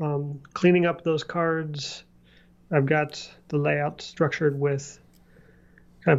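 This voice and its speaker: A man talks at a fairly slow pace. His pitch is fairly high and his intonation fairly even. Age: 30s. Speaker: software developer podcast co-host. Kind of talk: casual chat.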